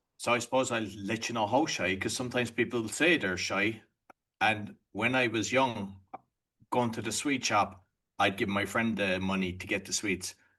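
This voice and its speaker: In an Irish accent, a man speaks at a medium pitch in a bright, sharp tone. His intonation stays fairly even at a moderate pace. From Ireland. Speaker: entrepreneur and podcaster. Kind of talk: podcast interview.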